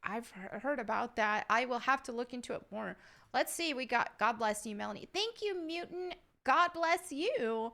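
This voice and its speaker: With an American accent, a woman speaks at a moderate pace in a high pitch, her intonation lively. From upstate New York, Southern family. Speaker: YouTuber. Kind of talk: Q&A reading viewer questions. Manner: casual, with filler words.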